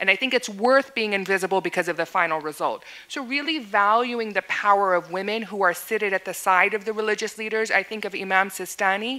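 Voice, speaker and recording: The voice has a bright, sharp tone and ordinary pitch variation, moving at a fairly quick pace with hardly any pauses. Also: woman, medium pitch for a woman. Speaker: women's rights advocate. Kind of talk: panel discussion. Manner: fast.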